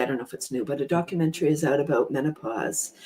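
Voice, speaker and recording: Noticeable background noise behind the voice of a woman. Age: 60s. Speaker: panel guest on women's health talk show. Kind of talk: panel discussion. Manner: halting, many fillers and repeats.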